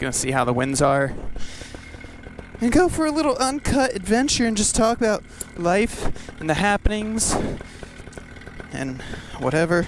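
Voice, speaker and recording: A man speaks at a moderate pace in a high voice with very wide pitch swings and long, frequent pauses. Noticeable background noise sits behind him. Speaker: paramotor pilot vlogger. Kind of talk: casual vlog narration. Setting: outdoors at a park. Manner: casual, chatty.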